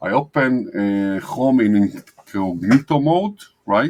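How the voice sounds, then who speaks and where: In a very clean recording with a silent background, a man with a non-native accent speaks at a very slow pace, his fairly low pitch carried by lively intonation. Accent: noticeable foreign. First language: not English. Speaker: digital marketing agency owner. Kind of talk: screen-share tutorial. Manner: hesitant, many fillers.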